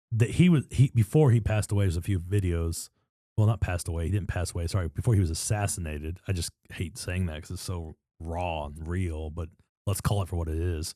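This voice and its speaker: Talking at a very fast pace, a man has a very deep, low pitch, a dark, mellow tone and ordinary pitch variation on a very clean recording with a silent background. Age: 30s. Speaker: podcast co-host. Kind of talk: casual chat. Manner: animated.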